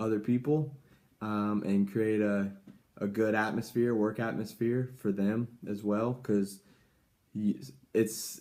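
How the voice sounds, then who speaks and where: A man speaks at a fairly slow pace in a fairly low pitch. His tone is dark and mellow, his intonation fairly even. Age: 20s. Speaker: YouTuber giving life advice. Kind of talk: casual vlog advice talk. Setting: at home. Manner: halting, many fillers.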